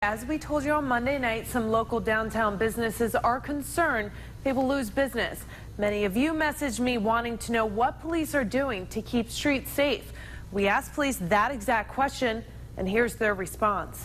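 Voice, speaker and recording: At a moderate pace, a woman talks in a fairly high voice with vocal fry, ordinary pitch variation and very even loudness. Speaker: news anchor and reporter. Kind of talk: TV news read.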